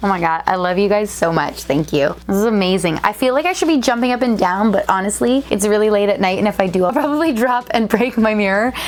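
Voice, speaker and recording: A woman speaks in a fairly high, animated voice at a fairly quick pace, her loudness very even. Background noise is noticeable. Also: hardly any pauses. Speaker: toy channel YouTuber. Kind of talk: casual vlog. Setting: home studio.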